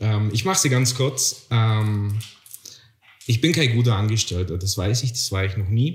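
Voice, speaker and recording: Pausing long and often, a man speaks at a moderate pace in a somewhat breathy, medium-pitched voice with ordinary pitch variation. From Bavaria, Garmisch-Partenkirchen. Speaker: podcast co-host. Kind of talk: casual chat.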